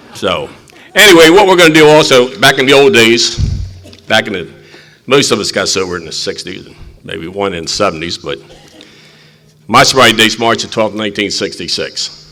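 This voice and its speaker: Over noticeable background noise, a man at medium pitch talks at a fairly quick pace with long, frequent pauses, very wide pitch swings and big swings in loudness. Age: 80s+. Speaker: recovery meeting chair. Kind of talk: recovery meeting talk.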